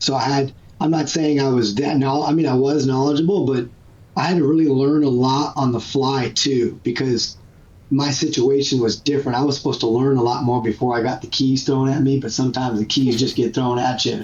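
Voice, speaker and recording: At a fairly quick pace, a man with a medium pitch and a somewhat breathy voice keeps his loudness very even. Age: 30s. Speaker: strength and conditioning coach. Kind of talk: casual chat. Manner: animated.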